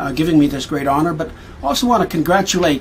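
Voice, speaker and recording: A man with a Canadian accent, fairly high in pitch with ordinary pitch variation, over noticeable background noise. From Canadian prairies. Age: 60s. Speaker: missionary. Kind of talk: award acceptance speech. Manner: halting, many fillers.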